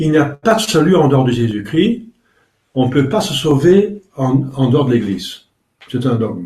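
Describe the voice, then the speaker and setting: A somewhat breathy voice with a dark, mellow tone moves at a moderate pace through very wide pitch swings and long, frequent pauses. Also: man. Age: 60s. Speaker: priest. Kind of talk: religious talk. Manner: halting.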